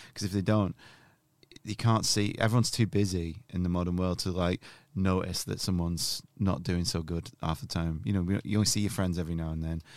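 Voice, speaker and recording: Over a very clean recording with a silent background, a man with a very deep, low pitch speaks at a fairly quick pace with ordinary pitch variation. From northern England, near Manchester. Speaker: comedian and meme creator, podcast co-host. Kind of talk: casual interview.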